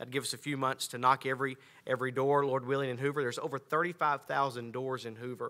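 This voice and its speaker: A man talks very fast with an American accent and a bright, sharp tone. His intonation is monotone and flat, over a quiet background. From North Carolina. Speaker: pastor and church planter. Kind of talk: missionary church presentation. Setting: church. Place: church. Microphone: podium.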